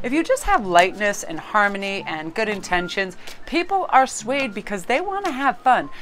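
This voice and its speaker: Noticeable background noise surrounds a woman speaking in a fairly high pitch. Her tone is animated, with very wide pitch swings. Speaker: tarot card reader. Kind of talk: tarot reading monologue to camera. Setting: filming at home in a new spot. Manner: fast.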